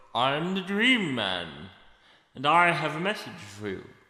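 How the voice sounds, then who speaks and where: Using a put-on character voice, a man speaks at a moderate pace in a fairly high pitch with very wide pitch swings and a clear echo. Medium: audio drama. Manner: menacing, cryptic.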